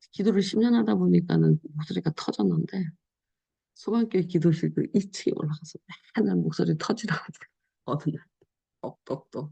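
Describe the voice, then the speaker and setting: Speaking at a moderate pace, a woman leaves long, frequent pauses and shifts greatly in loudness. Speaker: pastor. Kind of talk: sermon. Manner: casual, conversational preaching.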